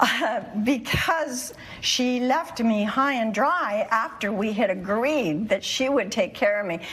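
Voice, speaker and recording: Amid noticeable background noise and audible room echo, a woman speaks very slowly in a fairly high voice with lively intonation. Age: 70s. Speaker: plaintiff. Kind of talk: courtroom testimony. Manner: halting.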